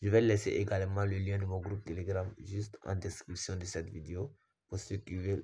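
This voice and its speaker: Very deep and low in pitch, a man speaks somewhat breathily at a moderate pace. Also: very clean recording, silent background. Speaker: sports betting tipster YouTuber. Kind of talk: screen-share betting tutorial.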